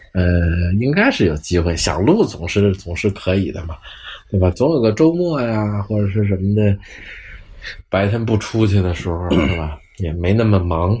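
Speaking with a Beijing accent, a man with a fairly low voice talks at a moderate pace with ordinary pitch variation. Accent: Beijing Mandarin. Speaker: podcast host, traffic enforcement officer. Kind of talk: casual chat.

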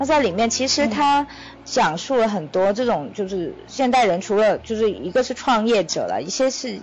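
A woman's voice over noticeable background noise. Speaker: podcast co-host, startup founder. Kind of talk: casual chat.

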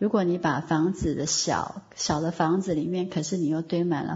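Fairly even in intonation and somewhat breathy, a woman talks at a moderate pace. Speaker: online course teacher. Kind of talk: online lecture. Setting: online voice class.

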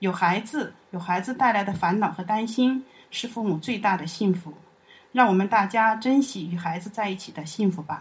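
A somewhat breathy woman's voice at medium pitch and moderate pace, with ordinary pitch variation and big swings in loudness, on a very clean recording with a silent background. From Chongqing, China. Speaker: university alumna and parent. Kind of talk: personal testimony.

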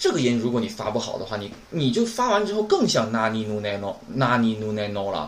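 In a room with audible echo, a man talks at a moderate pace with very wide pitch swings. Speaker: Japanese language teacher. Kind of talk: lecture. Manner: casual, filler-heavy.

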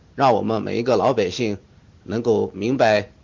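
A man speaks at a moderate pace in a medium pitch. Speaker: exam candidate student. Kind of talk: mock interview answer. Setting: online voice chat. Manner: halting, many fillers.

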